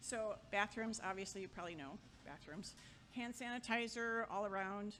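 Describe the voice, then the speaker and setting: Over music in the background, a woman talks at a fairly slow pace in a fairly high pitch. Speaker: memorial service emcee. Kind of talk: event announcements.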